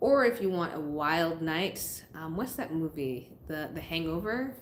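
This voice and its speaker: Here a woman has a plain, everyday voice, fairly low in pitch, with an American accent. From US Northeast, Massachusetts. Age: 30s. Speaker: YouTuber, expat vlogger. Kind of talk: live stream chat. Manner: casual, conversational.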